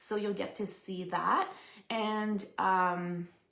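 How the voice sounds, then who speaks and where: A woman speaks with a Quebec accent. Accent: French Canadian accent in English. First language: French. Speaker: papercraft demonstrator. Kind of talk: live stream craft demo chat. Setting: live stream from home craft room. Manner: casual, chatty with fillers.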